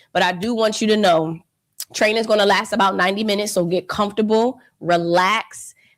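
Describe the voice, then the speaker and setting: This animated speaker with a Philadelphia accent keeps a very even loudness at a fairly quick pace. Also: woman, medium pitch for a woman. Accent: Philadelphia American English. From Philadelphia, US. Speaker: financial educator. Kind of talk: live online training webinar. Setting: livestream.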